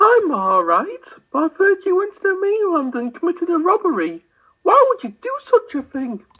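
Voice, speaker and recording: A squeaky, put-on character voice pitched extremely high. It moves at a moderate pace. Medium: audio drama.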